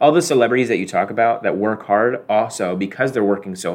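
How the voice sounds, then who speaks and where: A man talks at a very fast pace with lively intonation. His voice is fairly low in pitch, with vocal fry. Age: 20s. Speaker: video game podcast co-host. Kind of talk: casual chat.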